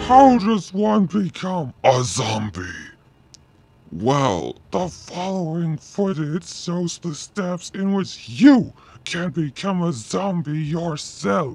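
A man in a cartoonish character voice talks very slowly at a high pitch. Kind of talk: mock educational film narration. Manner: ghoulishly cheerful.

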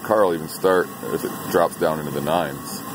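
Against noticeable background noise, a man with a very deep, low pitch speaks with fairly even intonation in a dry sound with no echo. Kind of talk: tutorial. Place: garage. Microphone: phone near.

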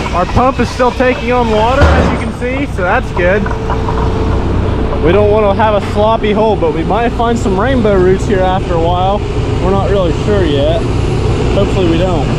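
Loud background noise surrounds speech at a moderate pace, broken by long, frequent pauses, with a dry sound and no echo. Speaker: drainage contractor worker. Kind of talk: casual vlog commentary. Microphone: phone near.

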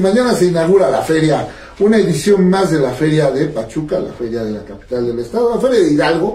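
Speech moves at a moderate pace, and audible room echo surrounds it. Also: man. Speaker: radio host. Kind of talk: radio show host talk. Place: studio.

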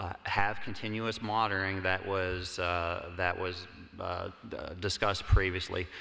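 Over a quiet background, an unremarkable speaking voice moves at a fairly slow pace with fairly even intonation. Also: man. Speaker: government cybersecurity researcher, panelist. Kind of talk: conference panel Q&A. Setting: stage with audience. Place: hall.

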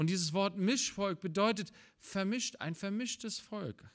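The man talks fairly slowly, his pitch varying in an ordinary way. Little else is heard, as the background is quiet. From Germany. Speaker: preacher. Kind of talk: sermon. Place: church.

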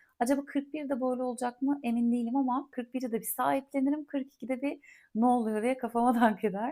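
The voice has a dark, mellow tone and sounds calm and relaxed. Its intonation is fairly even. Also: woman, high pitch for a woman, moderate pace. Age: 40s. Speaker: podcast host and content creator. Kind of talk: casual solo monologue. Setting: home recording in a quiet holiday house. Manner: calm, relaxed.

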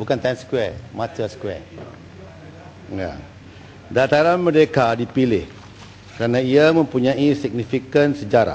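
A man talks at a fairly slow pace with ordinary pitch variation and long, frequent pauses over light background noise. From Malaysia. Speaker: government minister answering in parliament. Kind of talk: parliamentary answer, partly read statement; heated parliamentary debate. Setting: parliament chamber. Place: hall. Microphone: podium.

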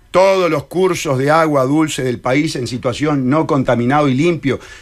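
A man speaks with a Uruguayan accent at a fairly slow pace. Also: quiet background. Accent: Uruguayan Rioplatense Spanish. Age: 60s. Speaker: presidential candidate and lawyer; candidate, lawyer. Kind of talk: radio interview. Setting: radio studio. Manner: animated. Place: studio. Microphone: headset.

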